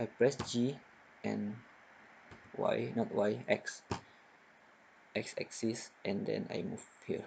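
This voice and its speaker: With a non-native accent, a man speaks at a very slow pace with long, frequent pauses. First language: not English. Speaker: software tutorial maker. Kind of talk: tutorial.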